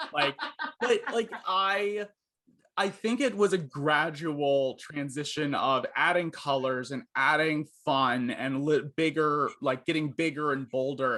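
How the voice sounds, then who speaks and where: Loud, bright, sharp male voice, fairly high in pitch, with ordinary pitch variation and a fairly slow pace. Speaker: journalist. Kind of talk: casual interview.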